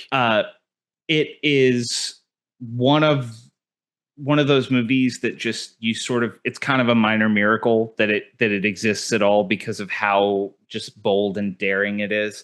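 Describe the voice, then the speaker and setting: A man with an American accent and a plain, everyday voice speaks at a fairly slow pace with medium pitch and fairly even intonation over a quiet background. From Texas. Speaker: podcast host. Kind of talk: casual interview chat.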